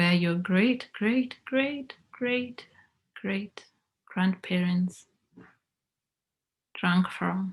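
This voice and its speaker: The voice is somewhat breathy, moving at a very slow pace with long, frequent pauses. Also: woman, medium pitch for a woman, ordinary pitch variation. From Kenya. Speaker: motivational speaker. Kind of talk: guided visualisation.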